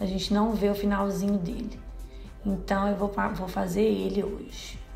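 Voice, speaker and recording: Over music in the background, the speech moves at a moderate pace with monotone, flat intonation. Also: woman, medium pitch for a woman. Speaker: beauty vlogger. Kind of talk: makeup tutorial talk to camera.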